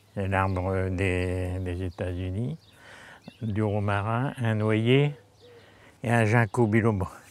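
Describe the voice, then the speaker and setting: Speaking very slowly, a man keeps his fairly low voice in a fairly even intonation. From northern France. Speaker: retired doctor, gardener. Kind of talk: casual chat. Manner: halting.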